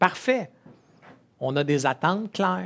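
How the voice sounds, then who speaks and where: The speaker has a Quebec accent. The recording is very clean, with a silent background. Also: man. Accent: Québécois French. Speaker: entrepreneur and conference speaker. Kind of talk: conference talk. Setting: stage with audience.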